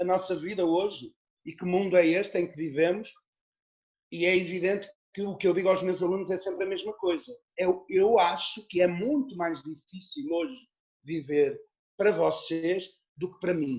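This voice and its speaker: With ordinary pitch variation and a moderate pace, the speaker leaves long, frequent pauses and swings widely in loudness. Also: man, high pitch for a man. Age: 60s. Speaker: actor and theatre teacher. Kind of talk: interview conversation. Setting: video call.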